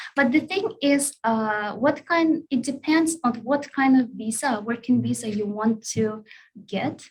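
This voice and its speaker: A woman speaks with a Russian accent at a very slow pace. Her pitch varies in an ordinary way. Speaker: language school staff. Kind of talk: online Q&A session. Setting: live online session. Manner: hesitant, many fillers.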